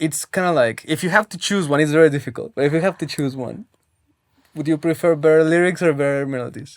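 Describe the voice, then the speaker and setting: Very fast speech with a non-native accent comes through on a very clean recording with a silent background. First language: not English. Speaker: interview show host. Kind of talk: interview.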